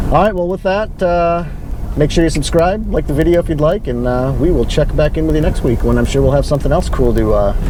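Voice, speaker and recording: Loud and very fast, a man speaks amid noticeable background noise and audible room echo. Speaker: off-road vehicle channel host. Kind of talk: casual chat. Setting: in a car.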